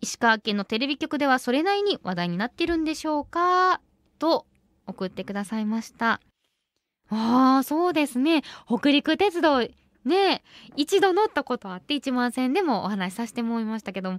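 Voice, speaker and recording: Speaking with a Kansai accent, a woman uses a high pitch with very wide pitch swings at a moderate pace, in a dry sound with no echo and a quiet background. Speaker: radio host. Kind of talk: radio show talk. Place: studio.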